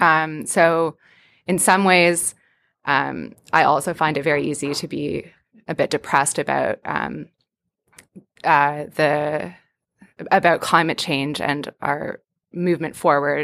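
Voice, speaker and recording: A woman's very deep, low voice with vocal fry and fairly even intonation, at a very slow pace with long, frequent pauses, in a very clean recording with a silent background. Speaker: graduate student. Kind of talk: casual chat. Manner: hesitant, many fillers.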